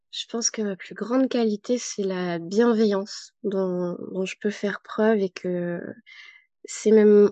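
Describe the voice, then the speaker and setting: A woman's medium-pitched voice with a dark, mellow tone and flat, monotone intonation, dry and close with no echo. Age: 30s. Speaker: psychomotor therapist and yoga therapist. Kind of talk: testimony interview.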